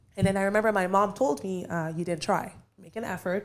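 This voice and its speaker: Animated female voice with a French Canadian accent, medium in pitch. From Quebec, Canada (Montreal), Haitian parents. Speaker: realtor. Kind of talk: casual podcast interview.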